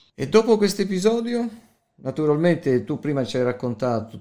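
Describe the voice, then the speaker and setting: In a very clean recording with a silent background, a man speaks in a dark, mellow tone at a moderate pace with ordinary pitch variation. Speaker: podcast interviewer. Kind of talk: interview.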